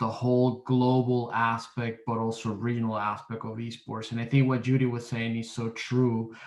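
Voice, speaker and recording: At a moderate pace, a man talks in a monotone, flat way with hardly any pauses. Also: medium pitch for a man. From Latin America. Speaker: gaming industry professional. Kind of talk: panel discussion.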